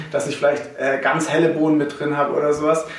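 A man's fairly high voice comes with audible room echo and noticeable background noise. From Swabia, Germany (Herrenberg area). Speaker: coffee importer, company co-founder. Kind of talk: casual interview. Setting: office.

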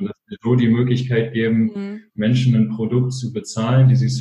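A man with a medium pitch and a dark, mellow, somewhat breathy tone talks at a fairly quick pace. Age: 20s. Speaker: social entrepreneur, fashion label co-founder. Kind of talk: interview.

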